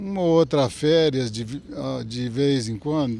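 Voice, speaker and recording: Lively intonation runs through an unremarkable speaking voice moving at a fairly slow pace. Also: man. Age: 60s. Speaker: cattle breeder. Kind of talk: TV interview. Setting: on a farm.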